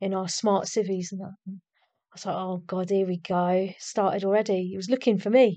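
Someone with an English accent speaks at a fairly quick pace in a dark, mellow tone. The intonation is monotone and flat, with big swings in loudness. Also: woman, medium pitch for a woman. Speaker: army medic veteran. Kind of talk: casual interview.

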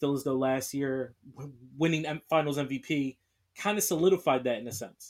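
At a fairly quick pace with ordinary pitch variation, an ordinary speaking voice with an American accent comes through on a very clean recording with a silent background. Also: man, fairly high pitch for a man. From US Northeast, Philadelphia. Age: 20s. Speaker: sports podcast host. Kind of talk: solo podcast monologue.

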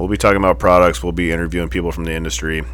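The speaker is a man. Audible room echo and noticeable background noise surround his voice. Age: 40s. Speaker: motorcycle shop owner and podcast host. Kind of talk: casual chat. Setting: motorcycle shop. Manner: animated.

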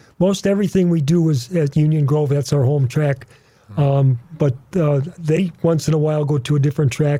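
Speaking at a moderate pace with an American accent, a man has a fairly high pitch and a dark, mellow tone that is somewhat breathy. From US Midwest (northern Wisconsin). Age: 80s+. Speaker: veteran drag racer. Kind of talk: radio interview. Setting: studio.

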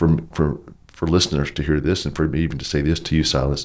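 A man with a Texas accent, a very deep, low pitch and vocal fry. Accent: Southern US, Texas. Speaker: pastor. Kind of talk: casual interview conversation.

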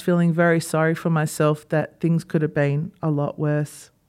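A woman speaks in an Australian accent at a moderate pace. Her tone is dark and mellow. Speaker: podcast host, former dentist. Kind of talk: solo podcast monologue.

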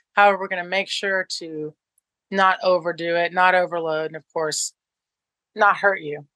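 A woman with fairly low pitch and a bright, sharp tone talks at a moderate pace with fairly even intonation, the sound dry and close with no echo.

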